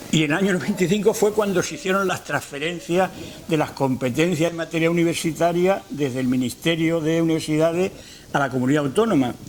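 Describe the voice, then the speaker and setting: Against noticeable background noise, a man talks very fast in a high pitch with ordinary pitch variation. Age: 70s. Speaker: retired university rector. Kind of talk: lecture. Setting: lecture hall with audience. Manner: halting.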